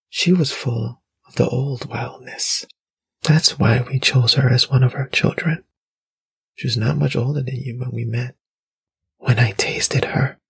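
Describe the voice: A man puts on a character voice at a medium pitch, husky with a rough edge and vocal fry. He talks at a fairly slow pace with fairly even intonation.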